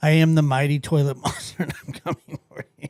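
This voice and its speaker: Man's put-on character voice, fairly high-pitched and flat in monotone, at a fairly quick pace. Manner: menacing.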